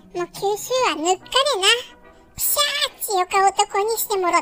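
With faint music in the background, a put-on character voice moves at a moderate pace. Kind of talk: comedic pet voice-over. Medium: role play.

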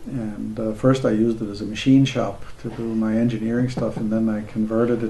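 Amid noticeable background noise, a man talks at a moderate pace and medium pitch with monotone, flat intonation. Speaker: co-founder of a psychology organization. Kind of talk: documentary interview. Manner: halting.

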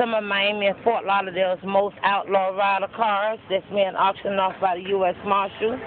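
Speech flows at a moderate pace with hardly any pauses. The sound is dry with no echo, over light background noise. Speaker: car show vlogger. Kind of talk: casual talk to camera, phone video report from an auction. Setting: outdoors at a car auction, recorded on a phone. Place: street. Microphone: phone near.

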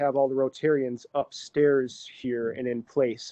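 Quiet surroundings behind a male voice. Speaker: meeting host. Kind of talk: casual meeting small talk. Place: hall.

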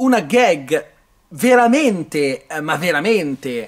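Over a quiet background, a man speaks at a very slow pace. His pitch swings very widely. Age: 30s. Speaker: film reviewer. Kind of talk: video review monologue; casual film review talk. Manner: hesitant, with many fillers. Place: hall. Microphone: phone near.

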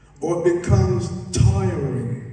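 A man's voice with strong room echo. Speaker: preacher. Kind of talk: sermon. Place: church.

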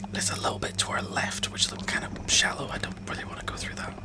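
Loud background noise behind a man speaking at a fairly quick pace. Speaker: game streamer. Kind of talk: casual banter while gaming on a stream. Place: home room. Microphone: studio mic.

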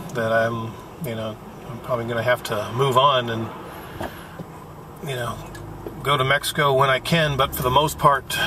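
A man's voice at a moderate pace, fairly even in intonation, dry with no echo, over noticeable background noise. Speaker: vlogger driving. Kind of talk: casual vlog chat. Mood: reflective, subdued. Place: car. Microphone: phone near.

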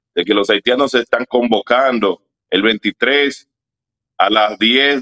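A man talks in a normal speaking voice with fairly even intonation. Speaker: activist leader. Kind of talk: interview.

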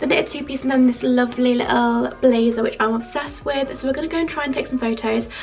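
A woman with a British accent speaks at a very fast pace with hardly any pauses. Her high pitch shows ordinary variation, with music in the background. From UK. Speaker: lifestyle vlogger. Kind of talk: casual vlog. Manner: chatty, enthusiastic. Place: home room. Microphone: phone near.

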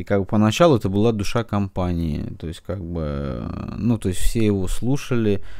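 Lively intonation marks this man's speech. His pitch is fairly low, and he keeps a moderate pace. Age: 40s. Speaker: book blogger. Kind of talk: casual book review monologue. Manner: halting, many filler words.

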